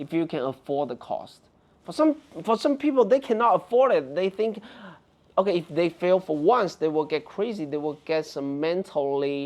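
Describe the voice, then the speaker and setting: A man talks at a moderate pace with a Chinese accent. His pitch is high, with lively intonation. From China. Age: 40s. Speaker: tech reviewer and app founder. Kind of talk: casual interview chat.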